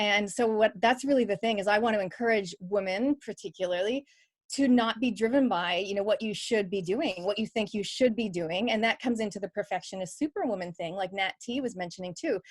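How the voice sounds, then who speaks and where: A woman talks at a fairly quick pace in a plain, everyday voice of medium pitch with ordinary pitch variation. The sound is dry and close, with no echo. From Canada. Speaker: business coach and podcaster. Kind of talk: panel discussion at online book launch.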